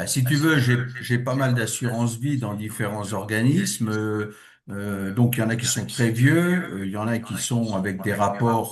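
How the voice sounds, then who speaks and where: A somewhat breathy voice amid audible room echo. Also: man. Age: 60s. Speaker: webinar participant. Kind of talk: Q&A question. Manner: halting.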